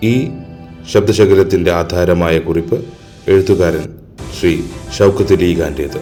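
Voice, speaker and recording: Over music in the background, a man talks in a very deep, low voice. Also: ordinary pitch variation. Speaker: narrator. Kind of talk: biographical narration.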